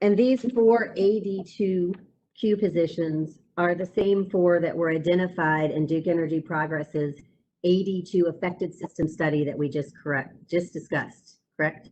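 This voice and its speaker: A woman speaks with a Southern US accent at a fairly low pitch. Her tone is dark and mellow. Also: ordinary pitch variation, moderate pace. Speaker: attorney. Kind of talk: cross-examination.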